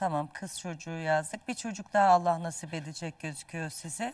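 The voice belongs to a woman and is somewhat breathy. She talks at a moderate pace. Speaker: dream interpreter. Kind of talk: live TV dream readings for callers. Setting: TV studio, live broadcast.

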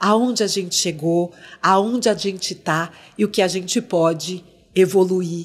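A woman's words come at a very slow pace, her intonation fairly even. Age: 50s. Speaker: former dancer and actress, now marketing entrepreneur; podcast guest. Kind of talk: interview conversation. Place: studio. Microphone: studio mic.

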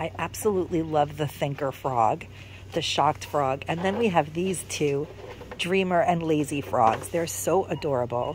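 A moderate pace, a dry sound with no echo, and light background noise. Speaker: shopping vlogger. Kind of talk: casual vlog chat. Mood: enthusiastic, admiring. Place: shop. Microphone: phone near.

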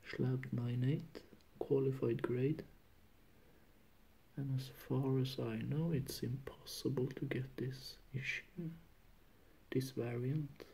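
Somewhat breathy and monotone, a man speaks at a very slow pace with long, frequent pauses. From Norway. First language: Norwegian. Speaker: comic book collector. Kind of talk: casual talk to camera. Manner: hesitant, many fillers. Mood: pleased, relaxed. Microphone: phone near.

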